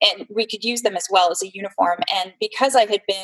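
A woman with a plain, everyday voice talks at a fairly quick pace and medium pitch, in a dry, close sound with no echo. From California, San Jose. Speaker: entrepreneur, fundraising business owner. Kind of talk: interview.

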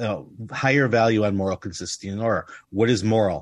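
A man speaks in an ordinary speaking voice, fairly low in pitch, at a moderate pace. The background is quiet. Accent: American. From United States. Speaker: tabletop game podcast host. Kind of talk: casual chat.

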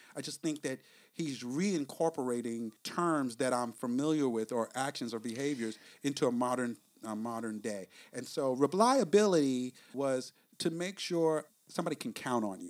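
Speaking in a New York accent, a man holds a moderate pace at medium pitch. The recording is very clean, with a silent background. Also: ordinary pitch variation. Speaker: podcast host. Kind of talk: casual podcast discussion, book review.

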